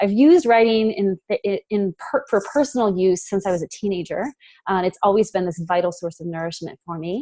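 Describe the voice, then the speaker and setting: A woman speaks at a medium pitch with lively intonation. The sound is dry and close, without echo. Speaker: writing coach and birth doula. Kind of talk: webinar presentation. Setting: video call. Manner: fast; animated.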